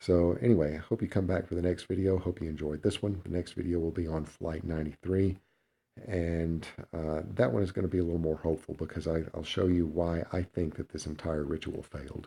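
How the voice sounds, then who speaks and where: Over a quiet background, a man speaks at a fairly quick pace with a very deep, low pitch and a dark, mellow tone. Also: fairly even intonation. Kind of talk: video lecture. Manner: halting.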